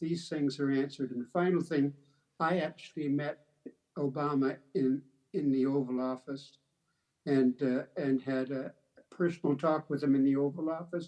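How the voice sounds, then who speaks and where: With long, frequent pauses, a man speaks at a moderate pace in a dark, mellow tone and a fairly high pitch. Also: fairly even intonation. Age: 80s+. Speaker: panelist, retired senator. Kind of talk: panel discussion closing remarks. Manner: halting.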